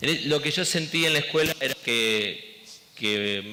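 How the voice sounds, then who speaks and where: At a fairly slow pace, a man talks with an Argentine accent. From Argentina. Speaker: education director. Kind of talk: interview.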